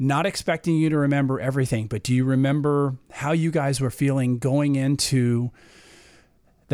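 This is a plain, everyday voice, a man at a medium pitch speaking at a moderate pace with ordinary pitch variation. The recording is very clean, with a silent background. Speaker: podcast host. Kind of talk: interview.

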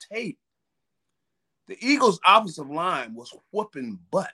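A man's raised, projected voice, high in pitch and bright and sharp in tone, swings very widely in pitch at a moderate pace, recorded dry and close with no echo. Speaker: football analyst. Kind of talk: casual sports analysis chat.

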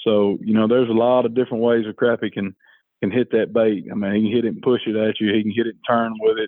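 A man's medium-pitched, monotone voice at a very fast pace, flat in intonation. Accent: Alabama. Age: 30s. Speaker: fishing guide. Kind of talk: casual chat.

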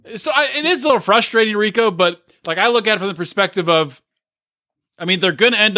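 The voice is raised and projected, bright and sharp in tone, racing at a very fast pace with very wide pitch swings, in a very clean recording with a silent background. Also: man. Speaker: podcast co-host. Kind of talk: casual chat.

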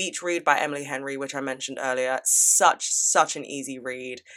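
Speaking at a fairly quick pace, a woman with a British accent has a very deep, low pitch, a bright, sharp tone and an animated delivery. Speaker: podcast host. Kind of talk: casual advice Q&A monologue.

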